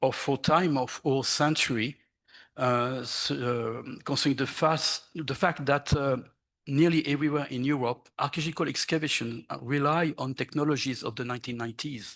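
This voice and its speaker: Over a quiet background, a man with a French accent talks at a moderate pace, his fairly high pitch carried by fairly even intonation. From France. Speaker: archaeologist. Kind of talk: conference presentation. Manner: halting.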